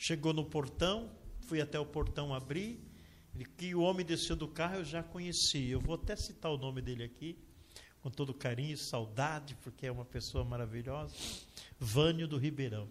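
A somewhat breathy man's voice, fairly high in pitch, at a moderate pace with ordinary pitch variation. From Brazil, São Paulo state. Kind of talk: testimony.

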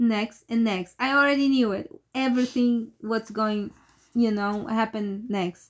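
A woman with a non-native accent talks at a fairly slow pace and a fairly high pitch, with ordinary pitch variation. The recording is very clean, with a silent background. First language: not English. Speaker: horror movie podcast host. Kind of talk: casual chat.

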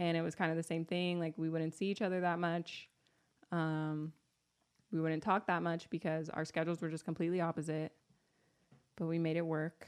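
On a very clean recording with a silent background, a woman speaks at a fairly low pitch. Her pace is moderate and her intonation monotone and flat. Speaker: podcast host, mother of twins. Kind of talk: casual chat. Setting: home recording.

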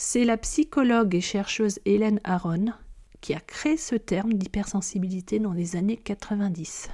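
A woman speaks at a fairly slow pace in a somewhat breathy voice, her medium pitch carrying ordinary pitch variation. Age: 40s. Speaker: podcast host on hypersensitivity. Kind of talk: solo podcast monologue. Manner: hesitant with frequent fillers.

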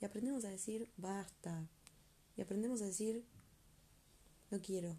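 A woman speaks at a fairly slow pace with a medium pitch, ordinary pitch variation, a somewhat breathy quality and a dark, mellow tone. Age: 20s. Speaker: podcast host. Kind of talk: reflective monologue. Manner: animated.

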